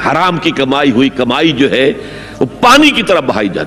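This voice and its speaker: Music plays in the background. A man speaks with lively intonation. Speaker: Islamic scholar giving a religious lecture. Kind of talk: Islamic sermon.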